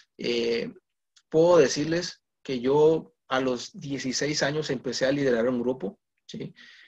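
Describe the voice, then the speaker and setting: This man speaks very slowly in a fairly high voice. His pitch varies in an ordinary way. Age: 20s. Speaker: guest preacher. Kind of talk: sermon. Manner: halting.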